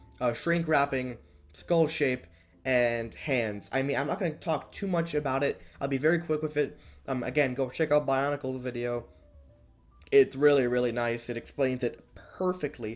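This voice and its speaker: Music runs in the background as a man speaks at a fairly high pitch. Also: ordinary pitch variation. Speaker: toy figure reviewer. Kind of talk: casual video review. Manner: fast; hesitant, many fillers.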